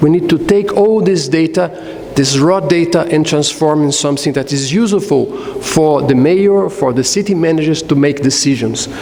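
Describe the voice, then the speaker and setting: A man's fairly high voice with ordinary pitch variation and very even loudness, in audible room echo and noticeable background noise. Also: moderate pace. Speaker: conference speaker on smart cities. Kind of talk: conference presentation. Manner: hesitant, frequent uh fillers.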